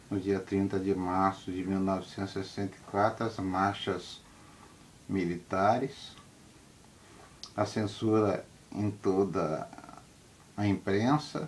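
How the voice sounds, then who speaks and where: A man speaks very slowly at a fairly low pitch, with long, frequent pauses. His pitch varies in an ordinary way. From Rio de Janeiro state, Brazil. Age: 70s. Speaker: former political prisoner. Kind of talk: testimony.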